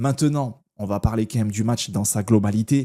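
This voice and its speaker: With a dark, mellow tone and medium pitch, a man speaks at a moderate pace and fairly even intonation. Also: very clean recording, silent background. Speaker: football YouTuber. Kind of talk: casual match commentary vlog. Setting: at home at night, lights off. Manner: soft-spoken; hesitant, many fillers.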